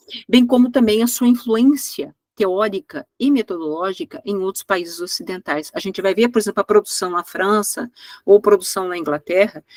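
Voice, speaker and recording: With lively intonation at a moderate pace, a woman speaks at a medium pitch in a dry, close sound with no echo. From Brazil. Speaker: history professor. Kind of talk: lecture. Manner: halting, many fillers.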